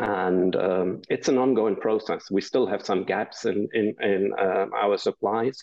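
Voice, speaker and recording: A man with a German accent speaks at a very slow pace. His pitch is fairly low. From Germany. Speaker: business founder. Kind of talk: interview. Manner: hesitant, many fillers.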